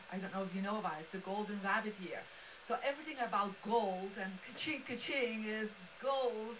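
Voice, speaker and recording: A woman's fairly high voice in a Belgian accent, ordinary pitch variation, audible room echo and noticeable background noise. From Belgium. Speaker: feng shui master and speaker. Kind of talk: motivational presentation. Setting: live-streamed studio event with audience. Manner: animated.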